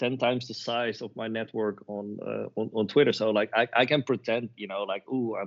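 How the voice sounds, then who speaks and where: A man speaks at a moderate pace with a non-native accent. His intonation stays fairly even. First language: not English. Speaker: web3 agency professional. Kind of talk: podcast interview. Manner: halting, many repeated words.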